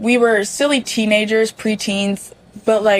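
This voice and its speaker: In a plain, everyday voice, a woman with an American accent speaks at a fairly slow pace and a fairly high pitch. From US South, Mississippi. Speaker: student. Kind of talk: casual chat.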